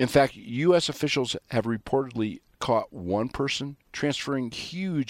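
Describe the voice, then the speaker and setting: A man talks at a moderate pace in an ordinary speaking voice with lively intonation. The recording is very clean, with a silent background and a dry, close sound with no echo. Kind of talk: radio monologue with ad-read promos. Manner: sarcastic, folksy.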